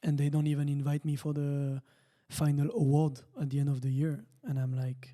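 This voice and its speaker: A fairly high-pitched man's voice with a dark, mellow tone, fairly even intonation and a moderate pace. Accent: French. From France. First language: French. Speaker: racing driver. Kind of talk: casual chat. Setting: studio.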